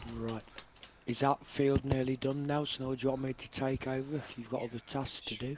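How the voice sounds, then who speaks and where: Noticeable background noise sits behind a man with an East Midlands accent. He speaks at a fairly quick pace with medium pitch and monotone, flat intonation. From East Midlands, England (Derbyshire). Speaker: gamer on multiplayer stream. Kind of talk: casual chat.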